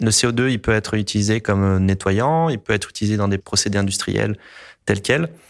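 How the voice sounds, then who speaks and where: A man's fairly low voice at a fairly quick pace, with very even loudness and ordinary pitch variation, in a very clean recording with a silent background. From La Réunion. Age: 40s. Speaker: environmental engineer. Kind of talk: interview testimony. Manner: hesitant, frequent filler sounds.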